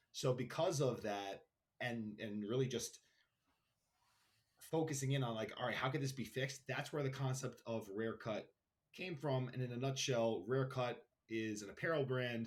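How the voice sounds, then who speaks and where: Speaking at a moderate pace, a man with a New York accent sounds somewhat breathy and shows ordinary pitch variation. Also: medium pitch for a man. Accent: New York (Queens). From Queens, New York City. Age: 30s. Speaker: brand founder, entrepreneur. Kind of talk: podcast interview.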